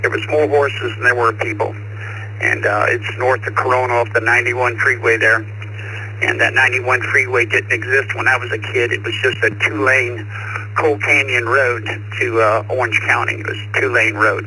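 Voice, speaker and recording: A man with an American accent, medium pitch, monotone, flat intonation and a moderate pace, amid noticeable background noise. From Southern California. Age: 70s. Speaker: ham radio operator. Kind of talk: casual chat. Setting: radio over VoIP node.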